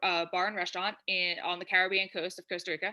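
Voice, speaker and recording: A woman with a New Jersey accent talks at a very fast pace. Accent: New Jersey American. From New Jersey, US. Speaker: freelance copywriter. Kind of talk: podcast interview.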